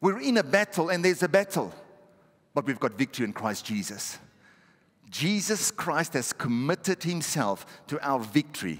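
At a moderate pace, a man with vocal fry swings his pitch very widely and leaves long, frequent pauses. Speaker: pastor. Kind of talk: sermon. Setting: church. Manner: animated, exhortative, call-and-response with the congregation. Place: church. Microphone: headset.

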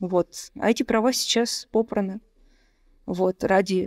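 A woman speaks with vocal fry, her loudness very even and her intonation fairly even, over a quiet background. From Russia, Moscow; Russia. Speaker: poet and lawyer; poet, lawyer. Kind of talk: interview. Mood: calm, quiet. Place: home room. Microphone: studio mic.

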